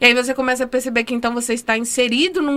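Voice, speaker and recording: This woman's voice sits high in pitch. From Minas Gerais, Brazil. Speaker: dentist and housing rights activist. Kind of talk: interview. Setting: studio.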